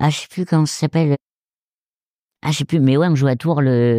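Against a silent background in a very clean recording, this dark, mellow voice moves at a fairly quick pace. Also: man, dry, close sound with no echo. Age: 20s. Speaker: stand-up comedian. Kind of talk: casual chat.

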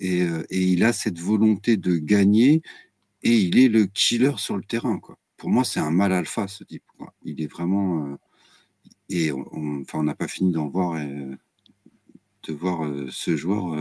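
Very deep and low, a man's voice moves at a very slow pace with long, frequent pauses and big swings in loudness. His intonation is lively, and the sound is dry and close with no echo. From Brittany, France. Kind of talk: casual chat.

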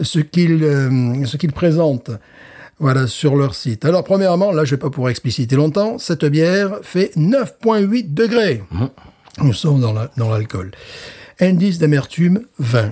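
A man talks at a fairly slow pace in a fairly high, somewhat breathy voice with a dark, mellow tone and very wide pitch swings. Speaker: podcast co-host, beer reviewer. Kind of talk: casual chat. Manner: animated.

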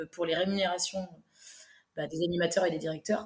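A woman speaks in a monotone, flat intonation. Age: 30s. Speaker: food truck owner. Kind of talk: interview. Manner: halting.

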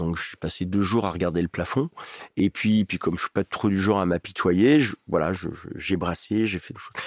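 On a very clean recording with a silent background, a man with a very deep, low pitch talks at a moderate pace, his pitch varying an ordinary amount and his loudness swinging widely, the sound dry and close with no echo. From eastern France, Ain (Oyonnax). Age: 50s. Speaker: radio host and stadium announcer. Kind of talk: casual chat.

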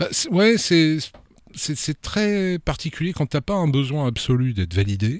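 A man speaks with a fairly high pitch at a fairly slow pace. His pitch swings very widely. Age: 50s. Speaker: novelist. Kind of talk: casual chat.

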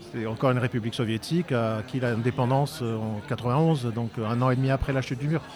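A man's medium-pitched voice at a fairly quick pace with hardly any pauses, fairly even intonation and noticeable background noise. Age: 50s. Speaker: eyewitness of historical event, filmmaker. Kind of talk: interview testimony. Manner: halting, many hesitations.

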